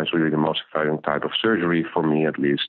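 Speaking very fast, a man with a Dutch accent has a very deep, low voice. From Netherlands. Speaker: ophthalmologist and medtech founder. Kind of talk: interview. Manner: halting, with repeated words.

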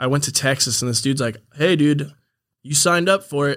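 A man talks at a fairly quick pace with an American accent, in an unremarkable speaking voice. His pitch is fairly high and his intonation fairly even. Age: 20s. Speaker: FMX stunt rider and YouTuber. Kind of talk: casual chat. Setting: studio.

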